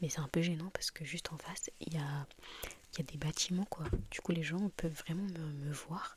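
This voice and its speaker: Soft-spoken and somewhat breathy, a woman with fairly low pitch keeps her intonation fairly even and leaves long, frequent pauses. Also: moderate pace. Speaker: ASMR creator. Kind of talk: casual ASMR talk to camera.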